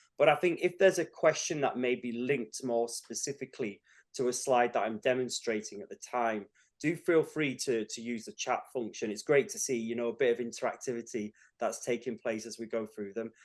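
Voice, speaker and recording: A man talks at a fairly quick pace in a northern accent, his pitch medium with ordinary variation. The background is quiet. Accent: a bit northern. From northern England, Cumbria. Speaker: tutor. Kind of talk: webinar lecture. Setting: online webinar.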